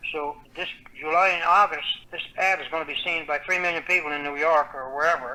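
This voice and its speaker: A man with a Newfoundland accent, fairly high in pitch, at a fairly quick pace with fairly even intonation. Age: 70s. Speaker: author. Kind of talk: interview.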